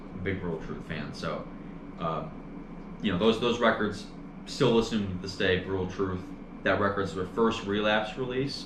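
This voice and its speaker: Speaking at a moderate pace with long, frequent pauses, a man has a fairly low pitch. Noticeable background noise and audible room echo fill the recording. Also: ordinary pitch variation. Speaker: podcast co-host. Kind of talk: casual chat.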